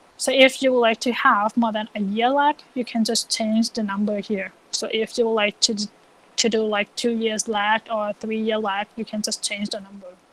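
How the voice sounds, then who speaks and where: The sound is dry and close, with no echo, as a woman speaks at a moderate pace. Her fairly high voice stays in a monotone, flat intonation. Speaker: econometrics teaching assistant. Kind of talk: software tutorial lecture.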